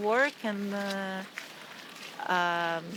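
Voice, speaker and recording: A woman speaks with fairly even intonation amid noticeable background noise. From Brazil. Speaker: passerby interviewed. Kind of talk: street conversation. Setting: outdoors in a park. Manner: halting.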